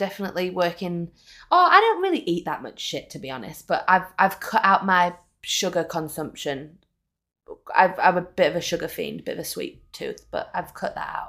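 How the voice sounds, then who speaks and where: On a very clean recording with a silent background, a woman with a northern English accent talks at a moderate pace with big swings in loudness. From northern England. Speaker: podcast co-host. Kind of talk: casual chat.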